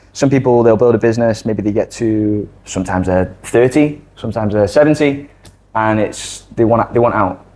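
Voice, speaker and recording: Speaking with a Mancunian accent, a man uses a medium pitch, a dark, mellow tone and ordinary pitch variation at a fairly quick pace. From northern England, Manchester. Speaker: digital creator and former accountant. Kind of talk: casual interview chat.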